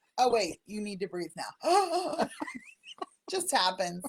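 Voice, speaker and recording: With very wide pitch swings, a woman speaks fairly slowly. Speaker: bookkeeper and show co-host. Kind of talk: casual chat. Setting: live video stream. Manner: animated.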